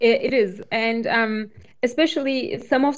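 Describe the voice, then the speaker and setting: Woman with a non-native accent, speaking at a very slow pace with ordinary pitch variation. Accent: foreign. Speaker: cloud developer advocate. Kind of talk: technical interview explanation.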